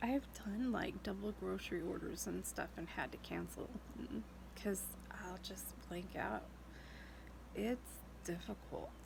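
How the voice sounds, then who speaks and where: Audible room echo carries a woman's voice as she speaks at a fairly slow pace with long, frequent pauses. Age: 40s. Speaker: vlogger with a neurological illness. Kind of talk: casual video diary. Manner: hesitant, many fillers.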